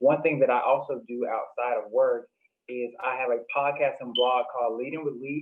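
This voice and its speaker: With an American accent and a plain, everyday voice, a man speaks at a medium pitch and moderate pace with fairly even intonation. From US South, Jackson, Mississippi. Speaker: podcaster and panel guest. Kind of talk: panel discussion.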